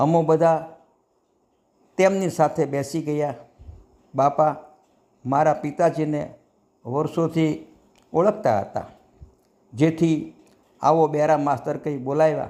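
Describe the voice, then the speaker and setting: The man's tone is dark and mellow, his pitch fairly high. His intonation stays fairly even. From Saurashtra, Gujarat (Bhavnagar area). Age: 60s. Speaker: devotional storyteller. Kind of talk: devotional anecdote narration. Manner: formal.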